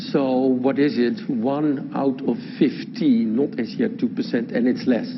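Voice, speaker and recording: A man's fairly high voice with a Dutch accent and very wide pitch swings, at a fairly slow pace, amid noticeable background noise and audible room echo. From Netherlands. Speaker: law professor. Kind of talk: lecture.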